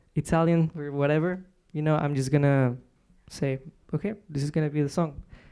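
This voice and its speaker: With a Spanish accent, a man talks at a fairly quick pace in a dark, mellow tone, his fairly high pitch held in a monotone, flat intonation, on a very clean recording with a silent background. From Mexico, Monterrey. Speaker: singer-songwriter. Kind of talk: radio interview. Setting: radio studio, live broadcast. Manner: hesitant, many fillers.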